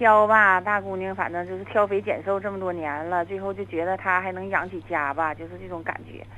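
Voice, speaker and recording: A fairly quick pace with hardly any pauses. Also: woman. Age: 40s. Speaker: caller. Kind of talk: phone-in confession.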